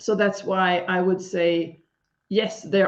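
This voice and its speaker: In a Swedish accent, a woman talks with a fairly low pitch and monotone, flat intonation. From Sweden. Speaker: leadership coach. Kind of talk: live stream interview.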